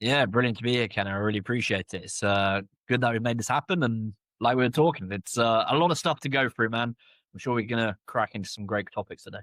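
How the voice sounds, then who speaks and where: At a very fast pace, a man of medium pitch speaks with a British accent and ordinary pitch variation, on a very clean recording with a silent background and a dry, close sound with no echo. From UK. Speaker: entrepreneur, media founder. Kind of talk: interview.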